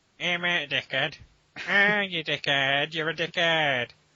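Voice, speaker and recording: A man's put-on character voice, fairly high in pitch and at a fairly slow pace. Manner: whiny, coarse, mocking.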